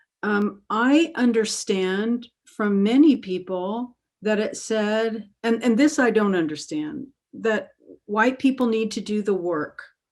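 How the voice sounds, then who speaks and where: A woman speaks very slowly with a Southern US accent. Her voice is fairly high, with ordinary pitch variation. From US South, Alabama. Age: 60s. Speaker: author and therapist. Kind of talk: webinar interview. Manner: halting.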